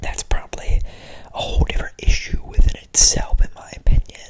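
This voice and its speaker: Over noticeable background noise, a whispered voice moves at a moderate pace. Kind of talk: whispered ASMR ramble to camera. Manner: whispered, casual, chatty.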